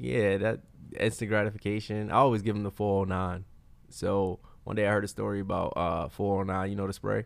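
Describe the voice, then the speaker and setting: A man's plain, everyday voice, fairly low in pitch, at a fairly quick pace with fairly even intonation against a quiet background. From Brooklyn, New York. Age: 30s. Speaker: author. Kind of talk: casual interview chat.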